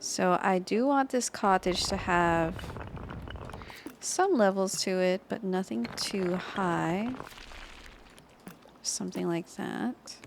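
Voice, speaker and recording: A woman speaks at a very slow pace in a medium pitch, with a calm tone and lively intonation. Long, frequent pauses break up her speech over noticeable background noise. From Philippines. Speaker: gaming YouTuber. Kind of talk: relaxing gameplay commentary. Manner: calm, slow-paced.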